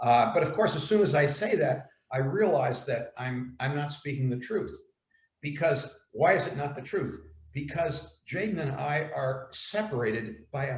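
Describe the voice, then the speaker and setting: Audible room echo surrounds a man speaking with an American accent. His voice is fairly high and somewhat breathy, with ordinary pitch variation. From US, New York. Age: 70s. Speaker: elder writer on aging. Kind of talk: dialogue. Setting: video call.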